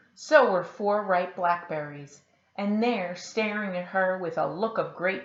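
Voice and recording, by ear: The passage is read aloud in a natural voice.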